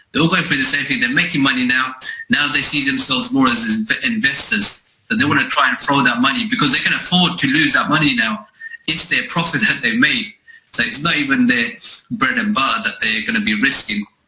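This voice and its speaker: Fairly high in pitch, a man with a London accent talks at a fairly quick pace, his pitch swinging very widely while his loudness stays very even. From East London, England. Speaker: network marketing recruiter. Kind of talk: sales pitch.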